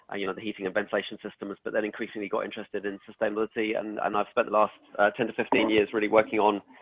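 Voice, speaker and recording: Talking at a very fast pace, a man with an English accent uses a fairly low pitch. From England. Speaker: sustainability expert, former building services engineer. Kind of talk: webinar presentation. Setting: live webinar. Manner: hesitant, many fillers.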